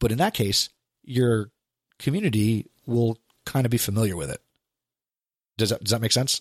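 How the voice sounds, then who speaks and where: Recorded with a dry, close sound and no echo, a man at medium pitch talks with ordinary pitch variation and long, frequent pauses. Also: moderate pace. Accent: American. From New Jersey. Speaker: podcast co-host, educator. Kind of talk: casual chat.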